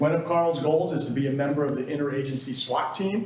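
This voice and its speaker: Amid audible room echo and noticeable background noise, a man rattles off his words at a very fast pace. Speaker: police chief. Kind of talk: public meeting address. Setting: city council meeting room with audience. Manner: loud.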